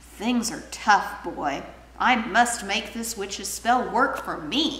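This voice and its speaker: A woman's put-on character voice, fairly high and very slow, over clear background noise. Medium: read story. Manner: sugary, wheedling.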